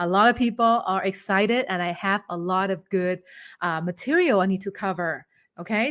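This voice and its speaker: An animated speaker with a Thai accent talks at a moderate pace with ordinary pitch variation. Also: woman. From Thailand. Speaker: English teacher. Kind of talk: online webinar teaching. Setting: online webinar.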